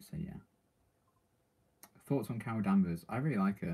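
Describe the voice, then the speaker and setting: With a British accent, this man is talking. His voice is male. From Britain. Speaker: TV reaction streamer. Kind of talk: live stream chat reading comments. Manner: casual, hesitant with many ums.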